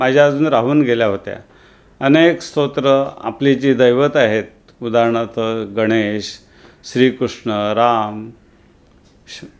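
Fairly even intonation and a medium pitch mark a man's a plain, everyday voice. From Kaman village, Vasai area, Maharashtra. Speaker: retired revenue officer and author. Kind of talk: interview.

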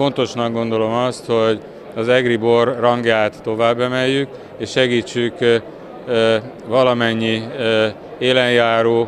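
Over noticeable background noise, a man speaks at a very slow pace in a dry sound with no echo. His medium-pitched voice is monotone, with flat intonation. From Hungary. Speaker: chamber of commerce president. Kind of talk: interview. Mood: calm, matter-of-fact. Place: hall. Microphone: handheld.

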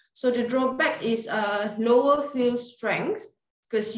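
A woman with a Malaysian accent, high in pitch with ordinary pitch variation, at a moderate pace with audible room echo and a quiet background. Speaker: radiographer. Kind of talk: webinar presentation. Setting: video call. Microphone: webcam.

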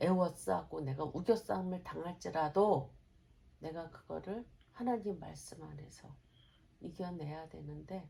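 A woman with a very deep, low pitch talks at a fairly slow pace with ordinary pitch variation. Her voice shows vocal fry and big swings in loudness. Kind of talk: casual conversation with mother.

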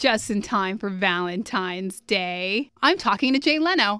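On a very clean recording with a silent background, a woman speaks in a fairly high, bright, sharp voice. Her tone is animated and her intonation lively. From Puerto Rico. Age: 30s. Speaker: radio host. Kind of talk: casual radio interview.

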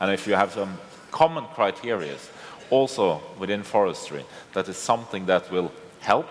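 A man with a Norwegian accent speaks at a moderate pace in a fairly low voice. He takes long, frequent pauses over light background noise. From Norway. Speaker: politician; panelist. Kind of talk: panel discussion. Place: hall. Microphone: headset.

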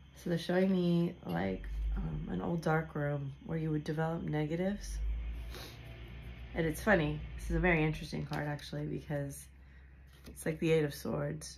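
A woman speaks at a moderate pace with long, frequent pauses. Music plays in the background. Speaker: tarot reader. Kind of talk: tarot reading commentary. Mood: intrigued, animated. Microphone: phone near.

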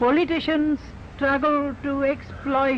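Light background noise sits behind a man with a Bengali accent. His pitch is extremely high and his pace very slow. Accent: Bengali Indian English. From India, Bengal. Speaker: poet and philosopher. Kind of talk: public speech. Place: garden. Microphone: old recording.

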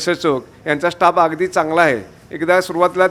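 Fairly even intonation in a high-pitched male voice. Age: 60s. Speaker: patient. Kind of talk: testimony. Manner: halting.

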